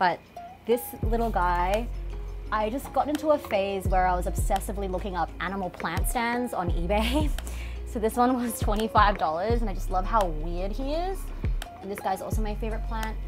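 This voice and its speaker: Clear music plays behind a woman who speaks at a moderate pace. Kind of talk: home tour chat. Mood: warm, enthusiastic. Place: home room.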